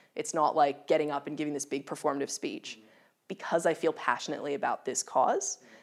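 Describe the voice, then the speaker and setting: A woman talks at a fairly quick pace with an Australian accent. The recording is very clean, with a silent background. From Australia, Melbourne. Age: 20s. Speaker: charity CEO. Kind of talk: interview.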